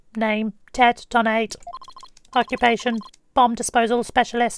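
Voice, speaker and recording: In a put-on character voice, a woman sounds robotic, with a fairly high pitch, monotone, flat intonation and a moderate pace. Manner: synthesized, typed-speech sound.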